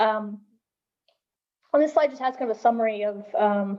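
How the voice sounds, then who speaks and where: This woman's voice has a fairly high pitch with ordinary pitch variation. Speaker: university lecturer. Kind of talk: lecture. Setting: video call. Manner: fast; hesitant, many fillers.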